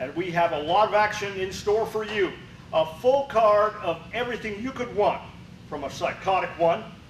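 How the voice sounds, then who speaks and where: A man talks at a moderate pace in a high-pitched voice with ordinary pitch variation, with light background noise and audible room echo. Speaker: wrestling show announcer. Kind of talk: wrestling show intro and sign-off. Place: studio.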